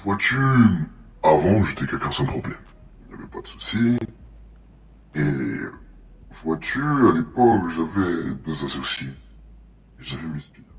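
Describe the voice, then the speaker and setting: A man puts on a character voice with a very deep, low pitch. He keeps a moderate pace, broken by long, frequent pauses. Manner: slow, menacing, confiding.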